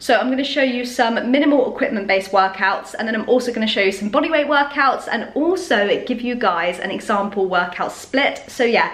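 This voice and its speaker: Her high voice moves at a fairly quick pace with hardly any pauses as this woman talks. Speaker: fitness vlogger. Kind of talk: casual vlog chat. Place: kitchen. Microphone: phone near.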